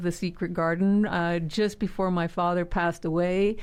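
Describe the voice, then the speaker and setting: This woman has an unremarkable speaking voice. The background is quiet. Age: 60s. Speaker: community leader. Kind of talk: interview.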